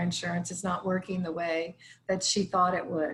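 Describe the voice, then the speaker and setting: A woman speaks at a moderate pace in a medium pitch, her intonation flat and monotone. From northern US. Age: 60s. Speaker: hospice chaplain, former attorney. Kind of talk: casual online town hall discussion.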